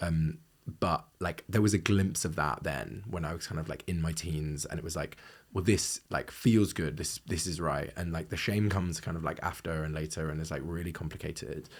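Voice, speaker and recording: A man speaks at a moderate pace in a very deep, low pitch with ordinary pitch variation. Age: 30s. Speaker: novelist. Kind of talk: podcast interview. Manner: frequent fillers like 'like' and 'um'.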